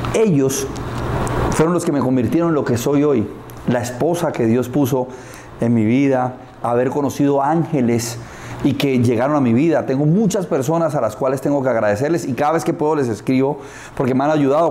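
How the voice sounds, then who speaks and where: A man talks at a fairly quick pace with very even loudness and ordinary pitch variation. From Colombia, Barrancabermeja (Santander). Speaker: advertising executive and motivational speaker. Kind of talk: interview. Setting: karaoke bar. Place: studio.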